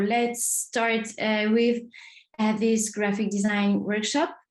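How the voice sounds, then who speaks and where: A woman's fairly high-pitched voice with a French accent, fairly even intonation and very even loudness. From France, Marseille. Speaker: design trainer. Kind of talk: online workshop. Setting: video call. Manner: hesitant, many fillers.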